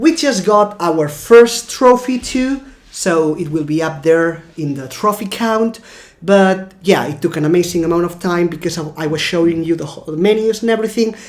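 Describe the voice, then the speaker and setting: Over noticeable background noise, a woman speaks at a moderate pace in a fairly low pitch, her intonation lively. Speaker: gaming YouTuber. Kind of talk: gameplay commentary outro; casual explanation.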